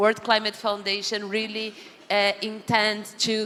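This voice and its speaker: Through noticeable background noise, a woman speaks at a fairly slow pace in a monotone, flat way. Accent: Brazilian. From Brazil. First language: Portuguese. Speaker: panel moderator. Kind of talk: closing remarks. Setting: stage with audience.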